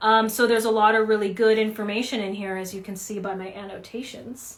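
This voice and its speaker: Fairly high-pitched female speech at a moderate tempo, plus noticeable background noise and audible echo from the room. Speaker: book reviewer, therapist. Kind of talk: casual book review vlog. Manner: casual, many fillers.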